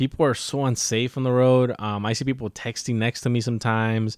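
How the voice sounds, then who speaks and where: This man speaks at a medium pitch on a very clean recording with a silent background. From immigrant to the US. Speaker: podcast host. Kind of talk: casual chat. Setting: recording with his sister.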